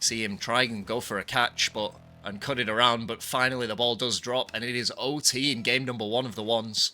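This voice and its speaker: With a northwest English accent, a man talks at a fairly quick pace in a bright, sharp voice at a medium pitch. His intonation is monotone and flat, and the recording is very clean with a silent background. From northwest England (Bolton, near Manchester). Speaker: esports caster and streamer. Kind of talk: live commentary. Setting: livestream. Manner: fast.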